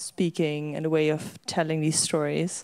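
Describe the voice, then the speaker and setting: A woman talks with a very deep, low pitch. Her tone is dark and mellow. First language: Dutch. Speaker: young historian. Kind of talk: panel discussion. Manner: hesitant, many fillers.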